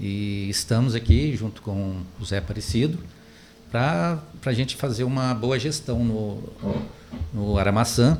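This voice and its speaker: A man talks at a fairly slow pace in a fairly low pitch with ordinary pitch variation. He has an ordinary speaking voice. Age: 60s. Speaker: club election candidate. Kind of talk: interview.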